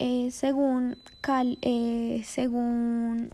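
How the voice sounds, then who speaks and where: Her voice is high in pitch, with a dark, mellow tone. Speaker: university student, podcast co-host. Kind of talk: presentation.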